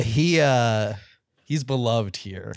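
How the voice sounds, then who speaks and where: Over a very clean recording with a silent background, a man talks in an unremarkable speaking voice. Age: 30s. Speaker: comedy podcast host. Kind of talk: improv comedy chat.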